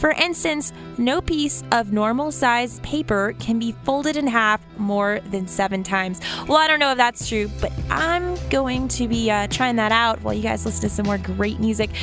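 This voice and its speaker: An upbeat tone comes at a moderate pace over clear music in the background. The sound is dry with no echo. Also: woman. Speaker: college radio DJ. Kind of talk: college radio air check, DJ patter between songs. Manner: upbeat, chatty. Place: studio.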